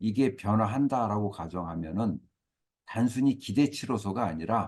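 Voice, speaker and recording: Lively intonation marks this man's medium-pitched voice with a dark, mellow tone. He speaks at a fairly slow pace. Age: 60s. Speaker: career consultant. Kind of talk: lecture. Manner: hesitant fillers.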